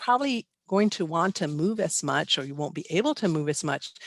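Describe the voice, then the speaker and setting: A woman's lively intonation comes through a dry, close sound with no echo over a quiet background. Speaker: animal behavior expert. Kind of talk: webinar lecture. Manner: fast.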